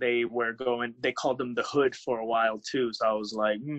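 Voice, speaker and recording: A man's medium-pitched voice in a Spanish accent, with fairly even intonation. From United States. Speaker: pro wrestler. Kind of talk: casual interview.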